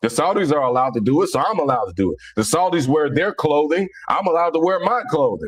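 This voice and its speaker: A man talks at a very fast pace with very wide pitch swings and hardly any pauses. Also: very even loudness. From US Midwest, Cincinnati, Ohio. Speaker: Islamic commentator and livestreamer. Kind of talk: casual livestream monologue. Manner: repetitive, halting with many restarts.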